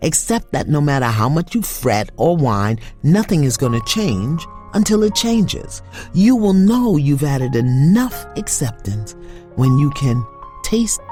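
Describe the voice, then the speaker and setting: Over music in the background, a woman talks at a fairly slow pace with very wide pitch swings. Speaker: spiritual coach. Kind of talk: guided spiritual devotional.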